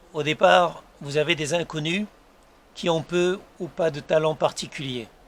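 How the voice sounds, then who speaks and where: A man's rather high voice moves somewhat slowly, its pitch rising and falling in a normal way. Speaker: YouTuber and author. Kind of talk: casual vlog monologue. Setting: outdoors on his terrace. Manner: soft-spoken; hesitant, many fillers.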